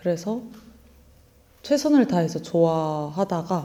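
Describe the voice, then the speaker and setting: A woman speaks very slowly in a fairly low voice. Her tone is dark and mellow. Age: 20s. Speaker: actor. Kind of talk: interview. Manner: halting.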